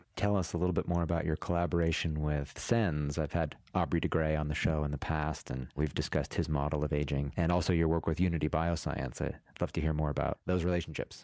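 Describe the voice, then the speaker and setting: A man with a very deep, low voice talks at a very fast pace with hardly any pauses, very even loudness and fairly even intonation, on a very clean recording with a silent background. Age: 40s. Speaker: podcast host. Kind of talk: interview.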